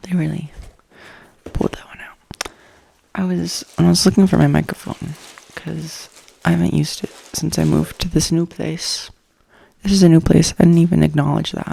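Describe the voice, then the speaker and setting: A soft-spoken woman whispers in an American accent at a fairly quick pace, her loudness swinging widely and her speech broken by long, frequent pauses. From US South East Coast. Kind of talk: ASMR ramble. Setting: at home. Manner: whispered, soft-spoken.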